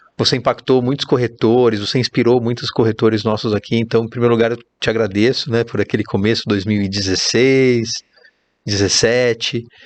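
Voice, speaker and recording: A man with a Brazilian accent, medium in pitch, at a fairly quick pace with monotone, flat intonation. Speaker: podcast host, real estate network manager. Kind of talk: podcast interview.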